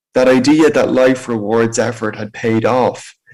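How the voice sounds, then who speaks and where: A man speaks in an Irish accent at a fairly slow pace. His pitch is medium. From Ireland, County Meath. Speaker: motivational speaker with spinal injury. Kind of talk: personal testimony talk.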